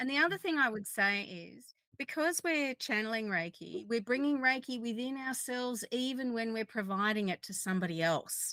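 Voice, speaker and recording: A woman with a plain, everyday voice speaks at a moderate pace with hardly any pauses, her pitch fairly high and her intonation lively. The sound is dry and close, with no echo. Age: 50s. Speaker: Reiki practitioner. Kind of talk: online panel discussion.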